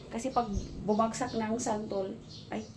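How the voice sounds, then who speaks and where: A woman speaks with audible room echo. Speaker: vlogger, domestic helper. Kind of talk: casual vlog. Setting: outdoors, then inside the house. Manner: loud.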